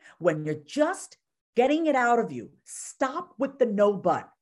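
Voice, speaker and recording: A woman with a New York accent and very wide pitch swings, on a very clean recording with a silent background. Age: 30s. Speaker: therapist and confidence coach. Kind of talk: casual chat. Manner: animated.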